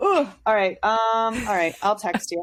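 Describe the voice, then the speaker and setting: A woman talks in an animated tone. Her pitch is fairly high. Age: 30s. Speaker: podcast host. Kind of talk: casual chat. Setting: home basement studio. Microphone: sound a little odd, cutting in and out.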